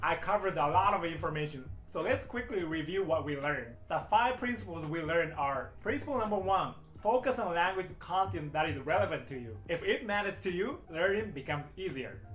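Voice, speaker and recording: With a Japanese accent, a man talks in a high voice at a fairly quick pace with hardly any pauses and lively intonation, amid audible room echo and noticeable background noise. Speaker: English teacher. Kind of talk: YouTube tutorial. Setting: speaking to camera.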